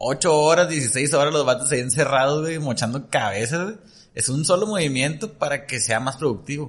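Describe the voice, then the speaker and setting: Here a man speaks with a fairly high pitch. His voice is somewhat breathy. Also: ordinary pitch variation, moderate pace. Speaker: nutritionist and entrepreneur. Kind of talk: casual chat.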